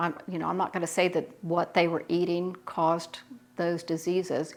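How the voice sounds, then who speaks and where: With a Southern US accent, a woman speaks at a moderate pace in a fairly low pitch, her intonation monotone and flat. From US South. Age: 60s. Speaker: home canning YouTuber. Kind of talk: Q&A monologue. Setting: home kitchen.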